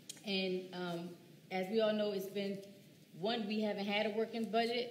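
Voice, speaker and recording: With an American accent, a woman speaks in fairly even intonation, with audible room echo and light background noise. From US Northeast. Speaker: teacher and council candidate; teacher, council candidate. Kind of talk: candidate forum speech. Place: hall.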